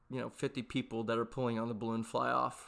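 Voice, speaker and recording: Bright, sharp male voice with an American accent on a very clean recording with a silent background. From Texas. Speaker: podcast host. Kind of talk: casual solo monologue. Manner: halting, with frequent fillers and restarts.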